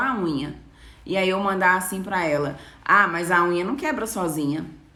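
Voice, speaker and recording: A woman's fairly low voice, ordinary pitch variation, a fairly slow pace and audible room echo. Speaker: nail designer. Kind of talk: live stream talk to viewers. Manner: casual, conversational.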